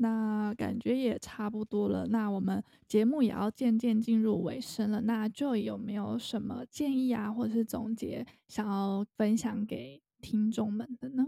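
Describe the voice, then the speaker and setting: A fairly high-pitched woman with a dark, mellow tone speaks at a fairly slow pace, her intonation fairly even, in a dry, close sound with no echo. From Taiwan. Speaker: podcast host and freelance English teacher. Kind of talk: casual interview chat.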